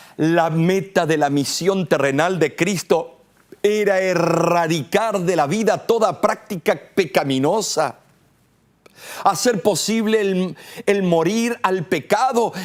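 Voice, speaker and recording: Very slow in pace, a man talks at a high pitch with ordinary pitch variation. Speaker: preacher. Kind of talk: sermon. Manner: forceful.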